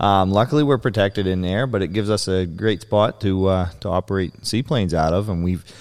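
Talking at a fairly quick pace, a man with a very deep, low pitch and an American accent uses ordinary pitch variation. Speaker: seaplane pilot and flying service operator. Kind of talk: casual interview. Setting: in a seaplane hangar.

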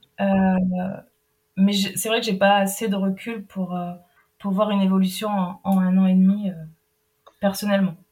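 Her voice is somewhat breathy, with a dark, mellow tone. This woman speaks in a monotone with flat intonation, leaving long, frequent pauses. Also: medium pitch for a woman, moderate pace. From Brittany, France. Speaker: anti-food-waste project manager. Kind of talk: interview. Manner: halting.

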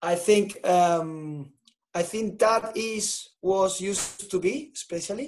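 A man with a Spanish accent, high in pitch, at a very slow pace, with ordinary pitch variation. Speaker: tennis coach. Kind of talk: podcast interview.

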